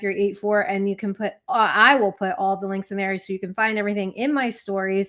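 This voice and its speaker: A woman with an American accent and a fairly high pitch is heard in a very clean recording with a silent background. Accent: New Jersey accent, remarked on by a commenter. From New Jersey. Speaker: sports podcast co-host. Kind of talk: casual chat.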